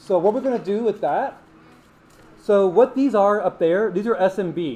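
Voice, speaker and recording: At a moderate pace, a man speaks in a high voice with a dark, mellow tone and ordinary pitch variation. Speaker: student club member demonstrating hacking. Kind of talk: live tutorial demo. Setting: classroom with audience, livestreamed. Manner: casual.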